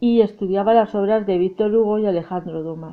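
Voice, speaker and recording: A woman at a medium pitch with fairly even intonation, music in the background. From Spain, León. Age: 40s. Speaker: seamstress and writer. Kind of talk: reading aloud.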